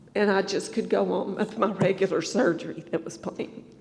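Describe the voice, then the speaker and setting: A North Carolina accent, fairly even intonation and a moderate pace. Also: woman. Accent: Southern American (North Carolina). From US South, Greensboro North Carolina. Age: 60s. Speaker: church member giving testimony. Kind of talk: testimony.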